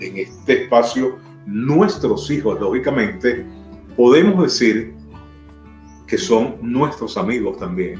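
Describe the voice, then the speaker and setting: A man's very slow, medium-pitched speech with very wide pitch swings and long, frequent pauses, over music in the background. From Maracay, Venezuela. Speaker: radio announcer. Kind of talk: interview answer.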